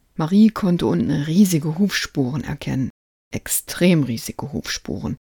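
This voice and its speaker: A woman's very deep, low voice, dark and mellow with a calm, gentle tone, lively intonation and vocal fry, at a fairly slow pace, in a dry, close sound with no echo. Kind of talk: bedtime story reading aloud. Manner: calm, gentle storyteller pacing with light character voices.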